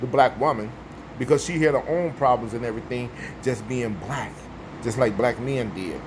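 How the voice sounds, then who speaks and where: A man at a moderate pace with ordinary pitch variation, noticeable background noise behind him. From US Midwest, Chicago. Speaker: vlogger. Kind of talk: casual monologue.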